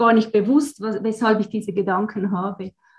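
A woman speaks at a fairly high pitch in a somewhat breathy voice. Her intonation is monotone and flat. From Switzerland (German-speaking). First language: Swiss German (speaking German). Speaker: astrologer. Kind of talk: interview.

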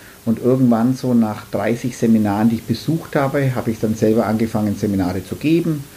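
Speech at a fairly quick pace with ordinary pitch variation is heard over noticeable background noise. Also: man, medium pitch for a man. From Franconia, Nuremberg. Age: 50s. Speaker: florist, flower shop owner. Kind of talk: casual interview.

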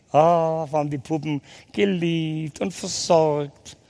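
In an animated tone, a man speaks at a fairly high pitch. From Swabia, Germany (Ulm area). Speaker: ex-convict evangelist speaker. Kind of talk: testimony. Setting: hall with live audience.

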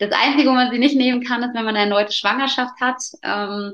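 A woman speaks with fairly even intonation. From Allgäu, southern Germany. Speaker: placenta encapsulation practitioner. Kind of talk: interview. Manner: hesitant, many fillers.

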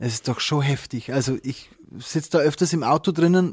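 A man's fairly high voice with ordinary pitch variation, dry and close with no echo, on a very clean recording with a silent background. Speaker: wedding officiant. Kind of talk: casual chat.

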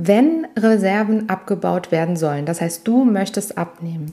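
At a fairly slow pace, a woman talks with a dark, mellow tone, her medium pitch showing ordinary variation. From Italian family background. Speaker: personal trainer and podcast host. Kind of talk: solo podcast monologue. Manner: casual, conversational.

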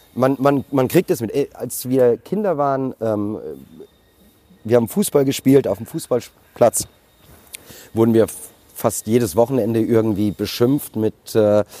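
A man talks at a fairly slow pace with long, frequent pauses. His medium-pitched voice has a dark, mellow tone and ordinary pitch variation. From Germany, Frankfurt. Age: 40s. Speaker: restaurateur. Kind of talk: interview. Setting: outdoors.

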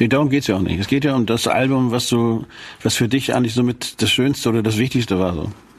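A man speaks at a very fast pace with a medium pitch. His pitch varies in an ordinary way. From Schleswig, northern Germany. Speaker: rock musician, podcast co-host. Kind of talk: casual chat.

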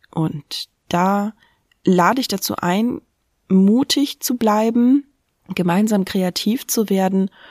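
A woman's medium-pitched voice with ordinary pitch variation, dry and close with no echo, on a very clean recording with a silent background. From Brandenburg, eastern Germany. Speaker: podcast host and funeral celebrant. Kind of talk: solo podcast monologue.

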